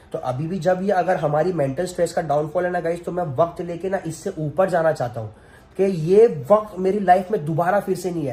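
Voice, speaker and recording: A man speaks at a high pitch with a dark, mellow tone. His pace is moderate and his pitch variation ordinary. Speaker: family vlogger. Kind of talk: emotional vlog monologue. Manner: emotional, earnest.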